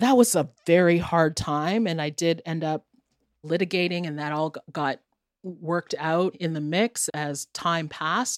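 The voice is an unremarkable speaking voice with a Canadian accent. It moves at a fairly slow pace with ordinary pitch variation. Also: woman, fairly low pitch for a woman. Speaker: radio host and journalist. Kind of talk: casual interview conversation.

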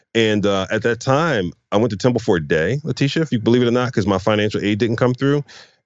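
A man with an American accent, talking at a very fast pace. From Philadelphia, US. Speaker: nonprofit CEO and author. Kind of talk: casual interview chat.

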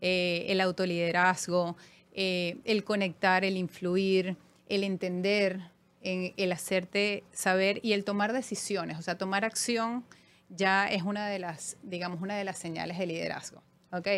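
In a Venezuelan accent, a woman speaks at a fairly slow pace with a medium pitch and monotone, flat intonation in a very clean recording with a silent background. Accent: noticeable Venezuelan. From Venezuela, Caracas. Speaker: finance executive. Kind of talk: interview.

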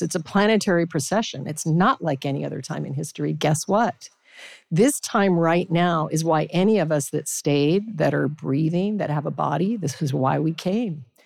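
Ordinary pitch variation at a moderate pace on a very clean recording with a silent background. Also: woman. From Alaska, Anchorage. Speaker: spiritual teacher and chef. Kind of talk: casual chat. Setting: stage with audience.

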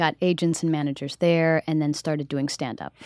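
A woman with an American accent speaks at a fairly quick pace in a very deep, low pitch. The sound is dry and close, with no echo. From US South, South Carolina. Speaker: Broadway actress. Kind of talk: casual interview chat.

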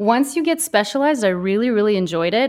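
Her American accent comes through as a woman talks at a fairly quick pace with lively intonation, on a very clean recording with a silent background. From Kansas, near Dodge City. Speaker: mental health therapist. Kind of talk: interview.

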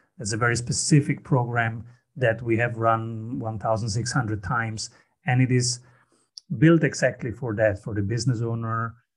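Somewhat breathy, a man talks at a fairly slow pace and a medium pitch. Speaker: business strategy coach. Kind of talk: interview, conversational.

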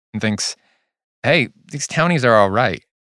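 A man with a Californian accent talks at a fairly quick pace. The recording is very clean with a silent background and a dry, close sound with no echo. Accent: Californian American English. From US West Coast, Whittier, California. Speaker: podcast host. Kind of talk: scripted narration.

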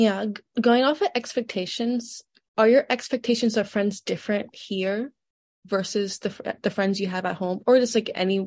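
A woman with an American accent speaks in a fairly high, somewhat breathy voice. Her intonation is fairly even, her pace moderate, and the background quiet. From Georgia, US South. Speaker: student interviewer. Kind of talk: interview.

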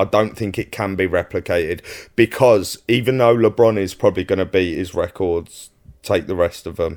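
A man with a Cockney accent talks at a moderate pace in a fairly low voice. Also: ordinary pitch variation. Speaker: podcast co-host.

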